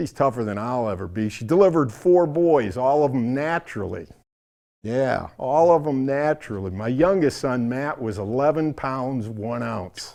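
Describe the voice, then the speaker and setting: Over a quiet background, a man with a dark, mellow tone speaks at a moderate pace. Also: medium pitch for a man, lively intonation. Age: 60s. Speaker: stand-up comedian. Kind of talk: stand-up.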